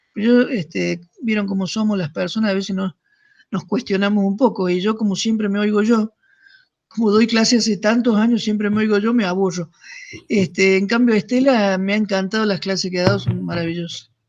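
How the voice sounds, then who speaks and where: This man has a high pitch and talks at a fairly quick pace with fairly even intonation. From Argentina, Córdoba province (Deán Funes). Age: 60s. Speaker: seminar teacher. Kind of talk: casual chat.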